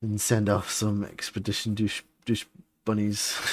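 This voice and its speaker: Somewhat breathy, a man speaks at a fairly slow pace. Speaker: vtuber streamer. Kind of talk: casual gaming stream chat. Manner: rambling, casual.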